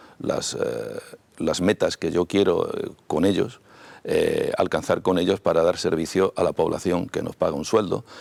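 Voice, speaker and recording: The sound is dry and close, without echo. A man talks at a fairly slow pace. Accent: Madrid. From Madrid, Spain. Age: 60s. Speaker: mayoral candidate, politician. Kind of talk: TV interview. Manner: halting, frequent fillers and repetitions.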